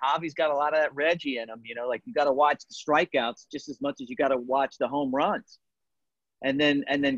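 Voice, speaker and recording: A man with an American accent and a normal speaking voice, fairly high-pitched, with ordinary pitch variation and a fairly quick pace. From Baltimore, US. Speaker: baseball broadcaster. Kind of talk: casual discussion.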